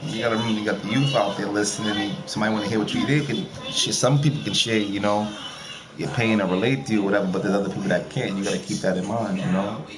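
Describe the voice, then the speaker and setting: Amid noticeable background noise and audible room echo, a man talks very fast in a fairly low pitch. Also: ordinary pitch variation. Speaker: streamer talking to viewers. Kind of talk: casual monologue.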